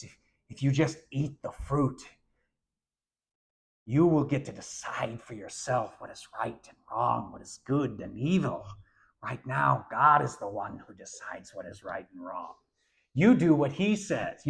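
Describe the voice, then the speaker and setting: A man does a put-on character voice that is nasal and fairly high in pitch. He keeps a moderate pace with long, frequent pauses. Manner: sinister, tempting.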